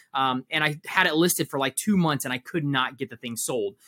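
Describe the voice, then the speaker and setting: Fairly high in pitch, a man talks at a very fast pace. The sound is dry and close, with no echo. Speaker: reseller and business coach. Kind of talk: casual chat.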